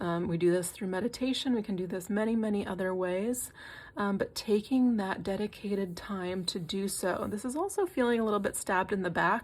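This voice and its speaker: Somewhat breathy, a woman speaks at medium pitch and a fairly quick pace with ordinary pitch variation. The recording is very clean, with a silent background. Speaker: tarot reader. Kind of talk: tarot reading. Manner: halting, many fillers and repeats.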